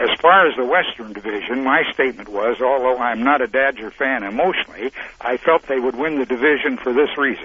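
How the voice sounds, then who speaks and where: An American-accented man talks at a fairly quick pace with hardly any pauses. His pitch is medium with ordinary variation, and there is noticeable background noise. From Montana. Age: 80s+. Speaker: caller. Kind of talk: sports call-in opinion. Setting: phone call.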